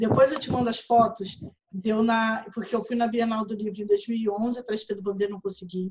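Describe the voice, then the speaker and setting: This woman speaks in a flat, monotone way with a somewhat breathy sound. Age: 30s. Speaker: writer and literary event organizer. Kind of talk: casual chat.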